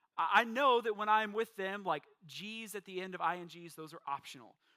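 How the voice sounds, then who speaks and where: A man speaks in a raised, projected voice with a bright, sharp tone. His pitch varies in an ordinary way, and his pace is fairly quick. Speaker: pastor. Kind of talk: sermon.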